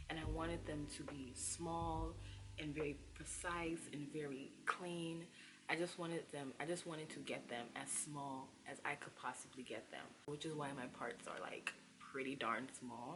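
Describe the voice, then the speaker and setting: A soft-spoken woman with a very deep, low pitch and vocal fry talks at a fairly slow pace. Her pitch varies in an ordinary way, and room echo is audible. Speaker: hair care youtuber. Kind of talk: tutorial. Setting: at home. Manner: soft-spoken, low volume.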